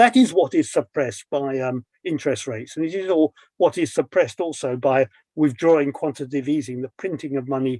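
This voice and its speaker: Talking at a very fast pace with lively intonation, a man with a British accent sounds dry and close, with no echo. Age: 70s. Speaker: financial journalist. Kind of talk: interview discussion. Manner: hesitant, many fillers.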